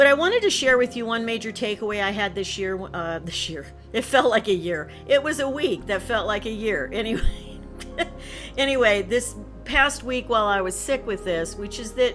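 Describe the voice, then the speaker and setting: With music in the background, a woman talks at a fairly high pitch and a moderate pace with lively intonation. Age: 60s. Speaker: retired college instructor and counselor. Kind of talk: casual talk to camera.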